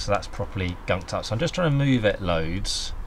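Light background noise sits behind a man who talks at a moderate pace. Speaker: climbing instructor. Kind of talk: tutorial. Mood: relaxed, casual. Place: garden.

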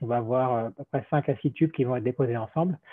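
Against a quiet background, a man talks at a fairly quick pace. His pitch varies in an ordinary way. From France. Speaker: robotics engineer; presenter. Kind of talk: technical presentation. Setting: video call. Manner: halting, many repetitions. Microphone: video call.

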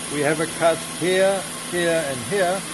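A man delivers his words very slowly while noticeable background noise carries on. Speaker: factory owner giving tour. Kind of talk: tour explanation. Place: factory. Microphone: camera far.

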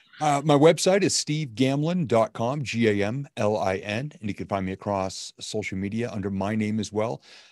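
Against a quiet background with a dry sound and no echo, a man speaks at a medium pitch and a moderate pace with lively intonation and hardly any pauses. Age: 50s. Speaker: motivational speaker and coach; motivational speaker, coach. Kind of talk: casual interview. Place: home room.

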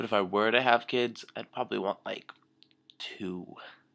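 Speaking at a fairly slow pace, a man keeps his intonation fairly even. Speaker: vlogger. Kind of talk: casual vlog chat, viewer questions. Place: home room. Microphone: webcam.

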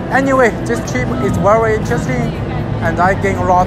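A man at a moderate pace, dry with no echo, with loud music in the background. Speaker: vlogger. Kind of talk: casual vlog chat. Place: hall.

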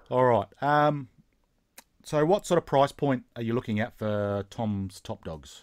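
A man with an Australian accent talks at a fairly slow pace in a medium pitch, against a quiet background. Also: lively intonation. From South Australia. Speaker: YouTube channel host, model railroader. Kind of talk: interview. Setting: online call. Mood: casual, friendly. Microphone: video call.

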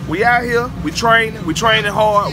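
At a moderate pace, a raised, projected voice carries over music in the background. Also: man. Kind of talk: casual vlog chat. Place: tent. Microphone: phone near.

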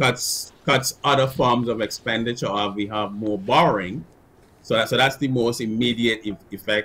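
Here a man talks at a moderate pace. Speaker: guest. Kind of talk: interview answer. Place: home room.

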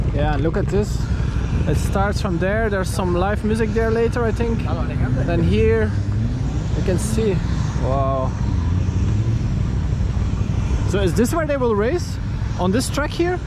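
A man speaks at a fairly slow pace with long, frequent pauses, his dry voice carrying no echo over loud background noise. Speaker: travel vlogger. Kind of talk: casual vlog chat. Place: open country. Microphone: phone near.

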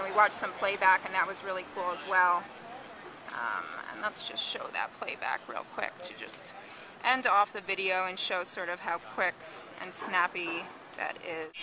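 Noticeable background noise sits under a dry sound with no echo. A woman speaks at a moderate pace with fairly even intonation. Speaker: tech reviewer. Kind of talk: product demo commentary. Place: cafe. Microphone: phone near.

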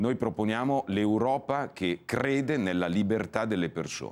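The speech comes at a fairly slow pace with lively intonation. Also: man. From Italy, Cremona (Lombardy); Lombardy, Italy. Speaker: politician. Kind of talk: TV interview, political pitch. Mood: calm, persuasive. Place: studio. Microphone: lapel.

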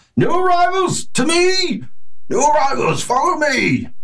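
Putting on a character voice, a man speaks raspy and at an extremely high pitch, at a moderate pace. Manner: loud, calling over a crowd.

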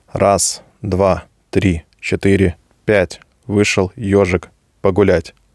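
A man speaks at a very slow pace with long, frequent pauses, in a fairly low pitch and a monotone, flat intonation. The sound is dry with no echo, over a quiet background. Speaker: microphone reviewer. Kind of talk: tutorial. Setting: studio. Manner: informal, chatty. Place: home room. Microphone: studio mic.

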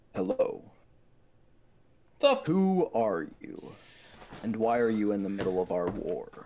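The speaker uses a put-on character voice at a fairly slow pace. Long, frequent pauses break up the speech. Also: man, medium pitch for a man.

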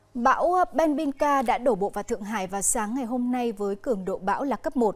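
A woman's voice with ordinary pitch variation, on a very clean recording with a silent background. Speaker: news anchor. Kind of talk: news reading. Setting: studio.

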